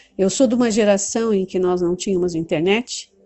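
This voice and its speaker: Ordinary pitch variation at a fairly slow pace, with music in the background. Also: woman. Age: 60s. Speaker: teacher and movement leader. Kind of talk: talk to camera on study method.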